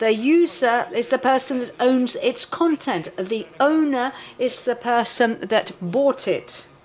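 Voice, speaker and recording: Despite the very slow pace there are hardly any pauses, with ordinary pitch variation and noticeable background noise. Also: woman, high pitch for a woman. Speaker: forensic analyst presenting a workshop. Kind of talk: technical workshop lecture. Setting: conference room with live audience.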